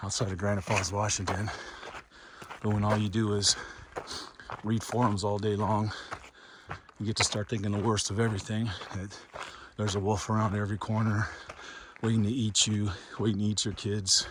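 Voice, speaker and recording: Amid noticeable background noise, a man with a fairly low pitch speaks at a fairly quick pace in a monotone, flat way with long, frequent pauses. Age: 50s. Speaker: hiking vlogger. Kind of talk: casual vlog narration while hiking. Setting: outdoors on a mountain trail.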